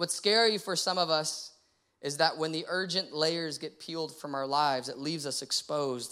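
On a very clean recording with a silent background, a man with an American accent speaks at a moderate pace. His fairly high pitch varies in an ordinary way, and his tone is bright and sharp. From Texas (San Antonio). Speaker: pastor. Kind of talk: sermon. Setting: church stage with congregation. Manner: animated.

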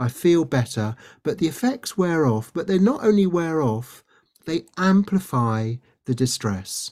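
Speaking at a fairly slow pace with a British accent, a man makes very wide pitch swings on a very clean recording with a silent background. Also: fairly high pitch for a man. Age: 60s. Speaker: doctor and resilience trainer, author. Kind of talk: interview.

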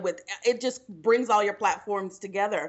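This woman has an American accent and an ordinary speaking voice. She talks at medium pitch with ordinary pitch variation. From Texas, Houston. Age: 20s. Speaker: real estate broker and trainer. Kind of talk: casual chat.

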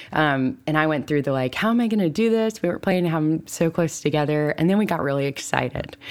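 A woman talks at a very fast pace in a very deep, low pitch, with hardly any pauses. Her intonation is lively, and there is noticeable background noise. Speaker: author and podcaster on pregnancy loss. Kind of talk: interview testimony. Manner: tender.

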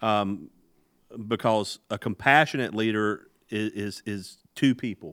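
A man talks at a fairly slow pace in an ordinary speaking voice, fairly low in pitch with ordinary pitch variation. The sound is dry and close with no echo, on a very clean recording with a silent background. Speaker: podcast host and leadership guest. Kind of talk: casual podcast interview.

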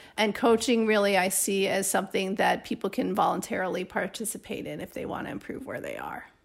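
With an American accent and vocal fry, a woman speaks at a fairly quick pace in a medium pitch, her intonation fairly even and her loudness swinging widely. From US Midwest, Chicago. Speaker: surgeon and professor. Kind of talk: interview.

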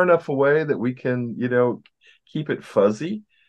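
A man's ordinary speaking voice, medium in pitch, with lively intonation at a moderate pace. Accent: American. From US small town. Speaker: therapist and podcast co-host. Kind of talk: casual chat.

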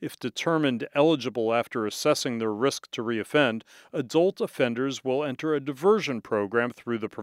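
With ordinary pitch variation, the clip features reading aloud in a natural voice.

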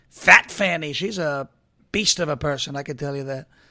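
A man speaks in a bright, sharp, animated tone. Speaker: political talk show host. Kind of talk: opinionated commentary show. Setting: studio. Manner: fast talker.

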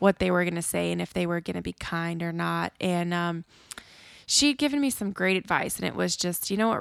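A woman talks at a fairly quick pace in a very clean recording, its sound dry and close with no echo over a silent background. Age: 30s. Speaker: podcast co-host. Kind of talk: casual chat.

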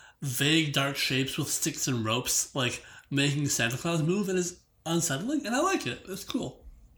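The speaker talks at a moderate pace. Noticeable background noise runs underneath. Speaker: guest judge. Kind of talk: casual chat.

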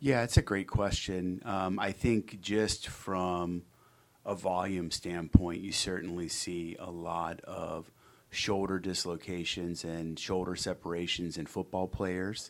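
On a very clean recording with a silent background, a man with an American accent speaks at a very slow pace in a very deep, low pitch, his intonation fairly even but his loudness swinging widely. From Cincinnati, Ohio (US Midwest). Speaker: orthopedic surgeon. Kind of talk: interview.

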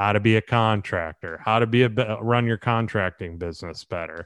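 A plain, everyday voice from a man with an American accent, fairly low in pitch with ordinary pitch variation, at a fairly quick pace, dry and close with no echo against a quiet background. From Southwest Florida, Naples area. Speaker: real estate broker and entrepreneur. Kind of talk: interview. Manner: casual, filler-heavy.

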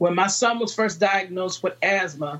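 Speaking with an American accent, a woman uses medium pitch and ordinary pitch variation. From Virginia, US South. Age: 30s. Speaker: entrepreneur and mother. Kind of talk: interview chat.

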